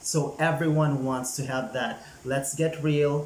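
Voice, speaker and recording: The speaker goes at a moderate pace, with noticeable background noise and audible echo from the room. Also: man. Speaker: YouTuber giving channel growth tips. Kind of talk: casual vlog tutorial. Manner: energetic, chatty.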